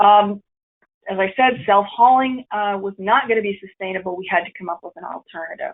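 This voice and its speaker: A woman's medium-pitched voice at a fairly quick pace, with ordinary pitch variation and big swings in loudness. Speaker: city program coordinator presenting. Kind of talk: webinar presentation. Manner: fast.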